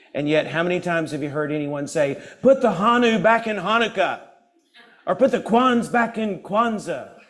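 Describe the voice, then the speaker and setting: Loud and animated, a man speaks at a moderate pace with a high pitch and lively intonation. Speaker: guest speaker at a church service. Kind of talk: sermon-style talk with humor. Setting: church with live audience and Zoom.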